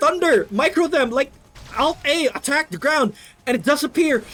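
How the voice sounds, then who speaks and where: A man with a non-native accent at a moderate pace, ordinary pitch variation, and noticeable background noise. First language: not English. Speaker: game caster. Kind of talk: live commentary.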